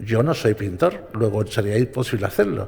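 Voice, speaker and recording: A man's dark, mellow tone comes through somewhat breathy, with lively intonation. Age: 70s. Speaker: radio broadcaster. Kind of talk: panel talk. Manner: halting.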